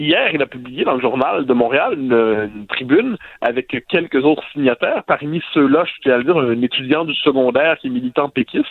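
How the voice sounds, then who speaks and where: A man's fairly quick speech in a plain, everyday voice with fairly even intonation. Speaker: sociologist and columnist. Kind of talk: radio commentary.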